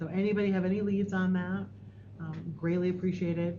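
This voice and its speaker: A woman speaks very fast in a soft, somewhat breathy voice with a dark, mellow tone, fairly low pitch and fairly even intonation, with audible room echo. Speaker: school district administrator. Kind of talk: board meeting report. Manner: soft-spoken.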